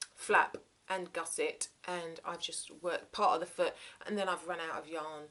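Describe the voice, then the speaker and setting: The speaker uses fairly even intonation with a southern English accent. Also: woman. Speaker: crafting vlogger. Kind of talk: casual show-and-tell vlog. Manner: hesitant, many fillers.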